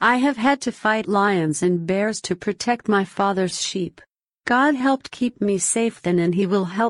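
Against a quiet background, the text is read aloud in a natural voice, its pitch varying in an ordinary way.

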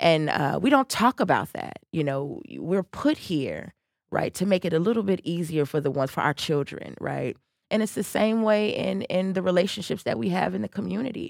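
Recorded very cleanly with a silent background and a dry, close sound with no echo, a woman with an American accent speaks at a moderate pace in a fairly low pitch, with very wide pitch swings and vocal fry. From Chicago South Side. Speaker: political candidate. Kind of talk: interview. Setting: studio.

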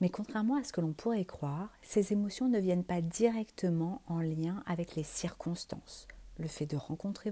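A woman talks at a moderate pace and medium pitch, with ordinary pitch variation. Her tone is dark and mellow, and somewhat breathy. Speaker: podcast host, wellbeing coach. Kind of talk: solo podcast talk. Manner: hesitant, many fillers.

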